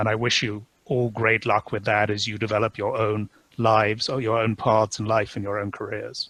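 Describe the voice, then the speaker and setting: Speaking at a moderate pace in a British accent, a man keeps a fairly low pitch and a flat, monotone delivery. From UK. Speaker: company CEO. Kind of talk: webinar talk.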